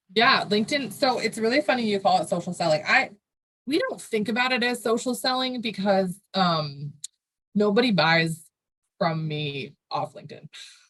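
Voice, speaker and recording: A woman speaks at a medium pitch, her voice swinging very widely up and down. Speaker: marketing agency founder. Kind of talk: podcast interview. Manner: fast.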